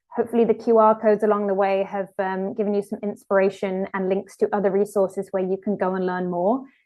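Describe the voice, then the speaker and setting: This woman speaks at a medium pitch. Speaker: webinar presenter. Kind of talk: webinar presentation with Q&A. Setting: online webinar with screen share. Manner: fast.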